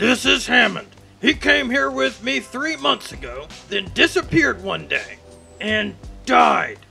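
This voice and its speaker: Over clear music in the background, a man uses a put-on character voice with an extremely high pitch at a fairly slow pace. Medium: dub. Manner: angry, shouting.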